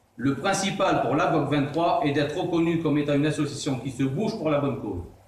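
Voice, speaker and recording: Noticeable background noise and audible room echo surround a man who speaks at a moderate pace with ordinary pitch variation. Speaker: association president. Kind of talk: formal speech. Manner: stumbling; formal.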